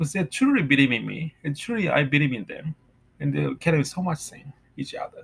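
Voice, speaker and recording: The speaker has a Japanese accent. The pace is fairly quick. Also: man. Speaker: vlogger. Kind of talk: personal monologue; casual vlog chat about faith. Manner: halting. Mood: earnest, reflective. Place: home room. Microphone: webcam.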